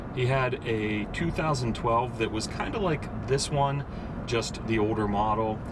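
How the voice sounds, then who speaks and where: A man at medium pitch talks at a fairly slow pace with ordinary pitch variation and very even loudness, over noticeable background noise and audible room echo. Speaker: car reviewer. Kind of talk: car review while driving. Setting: in a car. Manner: more formal camera voice.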